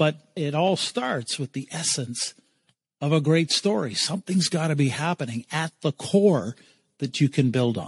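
Somewhat breathy and fairly high in pitch, a man speaks at a fairly slow pace with lively intonation. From Eastern Canada. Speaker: keynote speaker and brand strategist. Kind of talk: interview storytelling.

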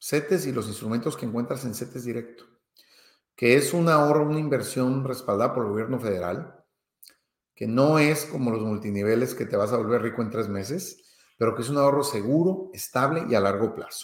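With a Mexican accent, a man talks at a fairly quick pace. His pitch is medium, with ordinary variation. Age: 50s. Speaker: finance podcaster. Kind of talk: monologue podcast. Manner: hesitant with fillers.

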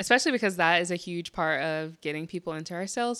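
In a very clean recording with a silent background, a woman speaks with ordinary pitch variation. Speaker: podcast host. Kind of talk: casual interview chat. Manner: fast talker.

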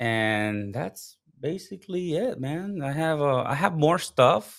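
A man speaks with a Spanish accent. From Puerto Rico. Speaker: live streaming strategist and consultant. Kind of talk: casual interview chat. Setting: home studio, remote call.

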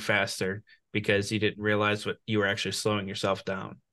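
A man with a plain, everyday voice and fairly low pitch talks at a fairly quick pace. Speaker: podcast host. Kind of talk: interview.

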